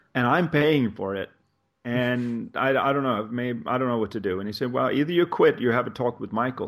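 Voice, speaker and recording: A man with a Swedish accent, medium pitch, ordinary pitch variation and a fairly quick pace. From Sweden. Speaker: life coach. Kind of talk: interview conversation.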